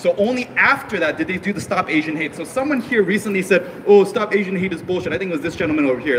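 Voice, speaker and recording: Talking at a very fast pace with hardly any pauses, a man with an American accent uses a high pitch, lively intonation and an animated tone over noticeable background noise. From US, Korean American raised from infancy. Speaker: rally speaker. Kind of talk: political rally speech.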